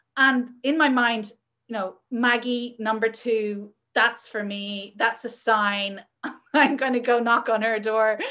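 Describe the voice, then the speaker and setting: In a Northern Irish accent, a woman speaks at a very slow pace and a fairly high pitch. Her tone is bright and sharp, her intonation fairly even. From Northern Ireland. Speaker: magazine editor and publisher. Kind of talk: casual chat.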